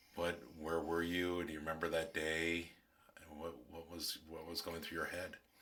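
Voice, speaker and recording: A man's very deep, low voice, bright and sharp in tone. He speaks in a flat monotone with audible room echo. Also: moderate pace. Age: 60s. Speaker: interviewer, son. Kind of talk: oral history interview.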